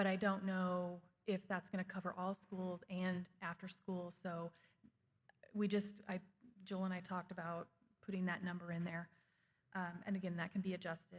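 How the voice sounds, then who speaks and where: Monotone, flat intonation from a somewhat breathy woman at medium pitch, with long, frequent pauses. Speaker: school district administrator presenting budget. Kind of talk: budget presentation at school board meeting. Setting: school board meeting. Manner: fast.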